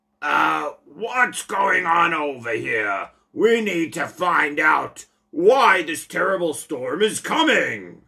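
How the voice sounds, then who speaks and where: A put-on character voice sits at a middle pitch. Its delivery is very slow. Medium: read story.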